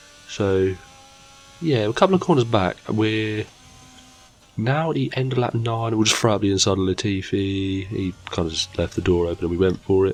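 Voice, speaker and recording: A man speaks at a fairly low pitch and a moderate pace. Noticeable background noise can be heard. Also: ordinary pitch variation. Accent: British. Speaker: gaming YouTuber. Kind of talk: gameplay commentary.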